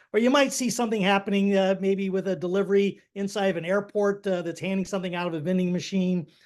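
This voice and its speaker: In a quiet background, a man talks at a very fast pace with a high pitch. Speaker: company CEO and founder. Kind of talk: webinar presentation. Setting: online webinar. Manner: halting, many fillers.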